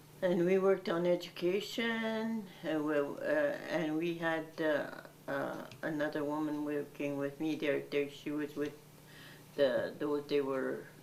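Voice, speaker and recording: A woman's very deep, low voice at a fairly slow pace, with ordinary pitch variation and noticeable background noise. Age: 80s+. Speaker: Métis elder and community worker. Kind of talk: interview answer. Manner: reflective, conversational.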